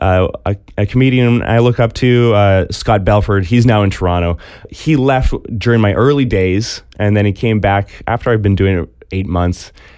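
Keeping very even loudness, a man talks at a moderate pace in a fairly low pitch with ordinary pitch variation. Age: 30s. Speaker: comedian. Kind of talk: casual chat. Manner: halting.

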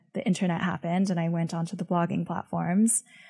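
A normal speaking voice with fairly even intonation. The recording is very clean and silent behind, with a dry, close sound and no echo. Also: woman. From born in Beijing, grew up in the US from age six. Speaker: venture capitalist and writer. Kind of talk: interview.

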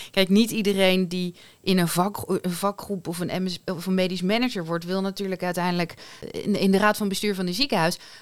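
On a very clean recording with a silent background, a woman in a plain, everyday voice speaks at a fairly quick pace, her pitch medium and her intonation fairly even. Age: 40s. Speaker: podcast host, HR and leadership in healthcare. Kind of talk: casual chat.

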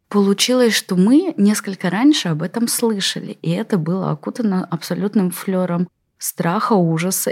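A woman speaks at a moderate pace in an ordinary speaking voice, her fairly low pitch moving with ordinary variation in a dry, close sound with no echo. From Russia, Tatarstan (Kazan area). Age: 40s. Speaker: infectious disease doctor. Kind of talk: interview monologue.

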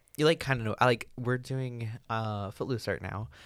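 In a very clean recording with a silent background, a man talks at a fairly quick pace with ordinary pitch variation in an ordinary speaking voice. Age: young. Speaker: podcast co-host. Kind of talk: casual chat.

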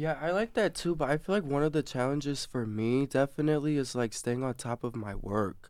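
Speaking with an American accent, a man talks at a fairly quick pace in a fairly high pitch with lively intonation. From Michigan. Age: young. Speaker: college student. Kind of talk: casual interview.

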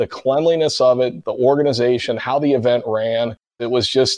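Against a quiet background, a man with a Midwestern American accent speaks at a moderate pace and medium pitch, with ordinary pitch variation. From Cincinnati, Ohio. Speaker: podcast host. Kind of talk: interview.

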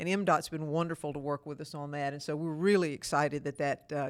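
A woman with a Mississippi accent talks at a very fast pace in a very deep, low voice. The recording is very clean over a silent background. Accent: US Southern (Mississippi). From Mississippi (Starkville). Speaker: mayor, former Navy and airline pilot. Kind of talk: interview. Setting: city hall.

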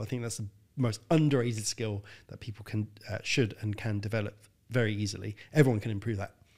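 A man with a London accent, medium in pitch with fairly even intonation, at a moderate pace on a very clean recording with a silent background. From North London, England. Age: 30s. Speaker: health consultant. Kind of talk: casual interview.

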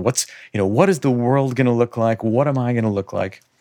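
Recorded very cleanly with a silent background, a man speaks at a medium pitch and a moderate pace. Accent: Chicago-area. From US Midwest, north suburbs of Chicago. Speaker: business owner. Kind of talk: casual chat.

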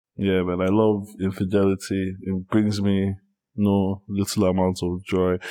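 This man talks at a fairly slow pace, his fairly low pitch carried in a monotone, flat intonation. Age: 30s. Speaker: podcast guest. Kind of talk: casual chat.

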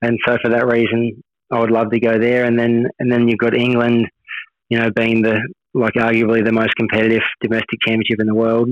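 A man speaks at a fairly quick pace with an Australian accent, his pitch medium and his intonation flat and monotone. The sound is dry and close with no echo, and his loudness stays very even. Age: 30s. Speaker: motorcycle racer. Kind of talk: interview. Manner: halting, repeats words.

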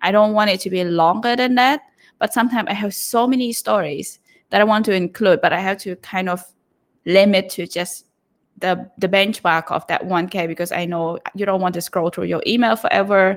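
Speaking with a Cambodian accent, a woman talks at a fairly quick pace, her pitch medium and its variation ordinary. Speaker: newsletter writer. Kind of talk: casual interview. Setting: online live audio call.

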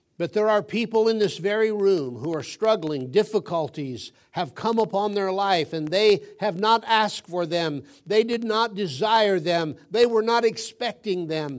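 The man's voice sits high in pitch, with ordinary variation, at a fairly slow pace. It's a very clean recording with a silent background. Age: 70s. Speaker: guest preacher. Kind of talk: sermon. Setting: church.

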